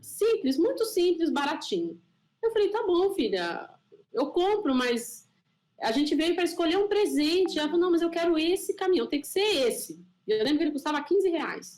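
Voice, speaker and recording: A woman speaks loudly at an extremely high pitch. Her intonation is lively and her pace moderate. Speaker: scientist and panel moderator. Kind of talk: panel discussion. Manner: animated.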